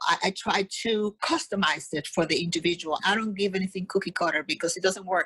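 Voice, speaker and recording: The sound is dry and close, with no echo, and the pace is fairly quick. Intonation stays fairly even in a plain, everyday voice. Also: woman. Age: 60s. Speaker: fitness coach. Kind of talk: podcast interview.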